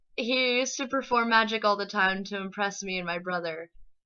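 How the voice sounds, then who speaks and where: A woman with an American accent speaks in a normal speaking voice. Her pitch is medium and varies in an ordinary way. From Texas, Lampasas. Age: 20s. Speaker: interpreting student. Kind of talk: personal introduction monologue.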